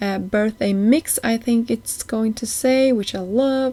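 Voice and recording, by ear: Speaking at a fairly slow pace, a woman has a dark, mellow tone and ordinary pitch variation.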